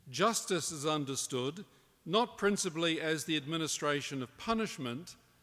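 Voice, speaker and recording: A man's bright, sharp tone at a fairly high pitch. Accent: New Zealand. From New Zealand. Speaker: professor. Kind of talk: conference talk. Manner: formal.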